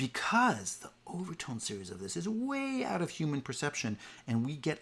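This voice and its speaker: With lively intonation and a plain, everyday voice, a man talks at a moderate pace. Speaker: music professor. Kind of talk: online lecture.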